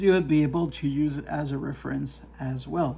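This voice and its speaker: Someone in a French accent speaks at a moderate pace. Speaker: product reviewer, poultry hobbyist. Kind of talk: product review tutorial. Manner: halting, many fillers; casual.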